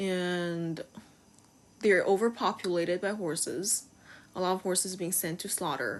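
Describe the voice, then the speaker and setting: With a Chinese accent, a woman speaks at a fairly slow pace in a medium pitch, leaving long, frequent pauses. Her intonation stays fairly even. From China. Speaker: video game streamer and horse lover. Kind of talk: casual vlog commentary.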